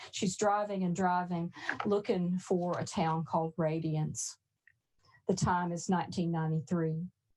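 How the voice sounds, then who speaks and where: A woman's fairly low-pitched voice, dark and mellow in tone, with fairly even intonation at a fairly slow pace. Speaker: author and professor. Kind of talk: reading aloud; panel discussion.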